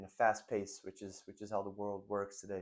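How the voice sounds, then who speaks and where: A man speaks at a moderate pace. His voice sits at a fairly low pitch. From Brazil. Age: 20s. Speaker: entrepreneur and business vlogger. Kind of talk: casual vlog monologue. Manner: hesitant, many fillers.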